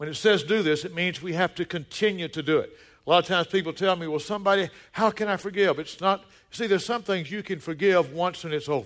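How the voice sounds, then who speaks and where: Speaking very fast in a high voice with ordinary pitch variation, a man with a Southern US accent is heard on a very clean recording with a silent background. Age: 60s. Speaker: pastor. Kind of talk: sermon. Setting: church. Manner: animated.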